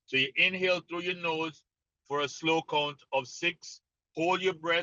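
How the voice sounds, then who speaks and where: A man with a Jamaican accent, fairly high-pitched, at a moderate pace and with fairly even intonation. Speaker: mental conditioning coach. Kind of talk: interview explanation.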